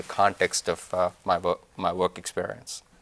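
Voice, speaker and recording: A man speaks with an Indian accent. The sound is dry and close, with no echo. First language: Indian language. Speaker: business executive. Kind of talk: interview. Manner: halting.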